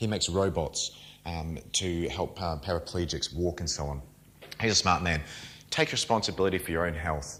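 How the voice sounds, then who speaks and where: A man speaks with a New Zealand accent in a very deep, low pitch and fairly even intonation. The recording is very clean, with a silent background. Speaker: nutrition coach and firefighter. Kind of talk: lecture. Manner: fast; informal, interactive.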